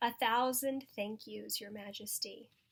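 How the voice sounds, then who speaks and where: A squeaky, put-on character voice at a fairly slow pace. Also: woman, fairly high pitch for a woman. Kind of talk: formal, courtly. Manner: proud, eager, grateful.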